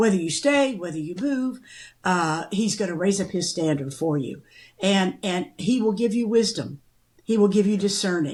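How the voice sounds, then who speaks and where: In a somewhat breathy voice, a woman speaks with lively intonation at a medium pitch. Her pace is moderate. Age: 80s+. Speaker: podcast co-host. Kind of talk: casual chat.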